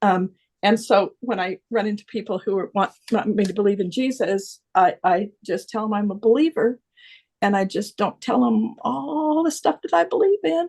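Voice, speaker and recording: Her fairly high, somewhat breathy voice carries a dark, mellow tone. The woman speaks at a moderate pace with lively intonation. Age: 70s. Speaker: circle participant sharing. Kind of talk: casual sharing in group video call. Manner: halting, many fillers.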